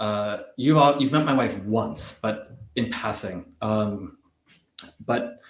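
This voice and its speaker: A man with a Canadian accent speaks very slowly. His pitch sits in the middle range and varies in an ordinary way. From Canada. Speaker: business executive. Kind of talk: casual interview chat. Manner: hesitant, many fillers.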